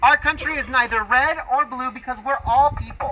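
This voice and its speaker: A man speaks in a raised, projected voice at an extremely high pitch. His pitch varies in an ordinary way over light background noise. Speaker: political speaker. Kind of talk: scripted political speech. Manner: some stuttering. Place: open country. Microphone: camera far.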